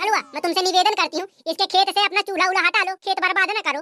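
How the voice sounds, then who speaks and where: A cartoonish character voice from a woman, extremely high in pitch, very fast and monotone with flat intonation, the sound dry and close with no echo. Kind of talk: rustic comic cartoon acting. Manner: bossy, demands respect.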